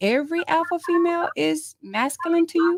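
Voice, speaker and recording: A woman speaks at an extremely high pitch. The sound is dry and close, with no echo. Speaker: panel guest. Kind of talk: casual chat. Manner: loud.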